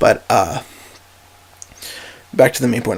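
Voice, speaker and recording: Fairly quick talk from a man, with noticeable background noise throughout. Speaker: gaming youtuber. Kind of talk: casual monologue podcast. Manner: rambling, halting with fillers.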